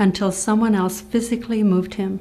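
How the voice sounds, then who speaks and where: A woman with a dark, mellow tone and a somewhat breathy voice talks at a fairly quick pace, her medium pitch following fairly even intonation. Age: 60s. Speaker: motivational speaker and nurse. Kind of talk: scripted presentation.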